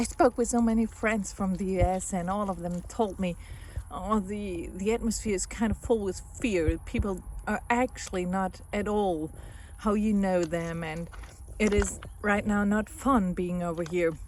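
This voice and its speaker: A woman with a German accent speaks at a fairly slow pace with fairly even intonation. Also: medium pitch for a woman. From Germany. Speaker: family therapist, psychologist. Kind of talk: casual vlog monologue. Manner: hesitant, with repetitions.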